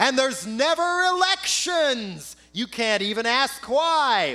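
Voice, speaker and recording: On a very clean recording with a silent background, a man projects a raised voice at an extremely high pitch, bright and sharp in tone, moving at a very slow pace with very wide pitch swings. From United States. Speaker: spoken word artist and political activist. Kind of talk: live spoken word performance. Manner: sardonic, satirical.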